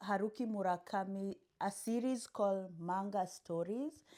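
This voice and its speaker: Over a very clean recording with a silent background, a woman speaks at medium pitch with a dark, mellow tone. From Kenya. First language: a Kenyan language (English is third). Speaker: booktuber. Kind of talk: casual vlog book haul.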